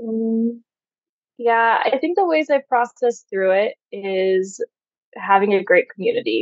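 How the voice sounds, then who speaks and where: A woman with an American accent, an ordinary speaking voice, fairly high pitch, lively intonation, very even loudness and a fairly slow pace. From US. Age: 30s. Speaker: sex coach. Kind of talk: interview conversation.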